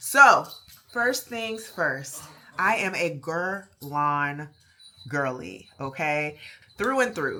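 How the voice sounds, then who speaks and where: A woman speaks with a Baltimore accent in a bright, sharp tone. Her delivery is animated, with lively intonation. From Baltimore, US. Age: 30s. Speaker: fragrance YouTuber. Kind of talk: product review.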